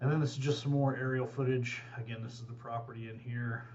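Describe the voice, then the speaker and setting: There is audible room echo as a man speaks at a medium pitch. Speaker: real estate agent. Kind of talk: property video tour narration. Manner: casual, many filler words; fast.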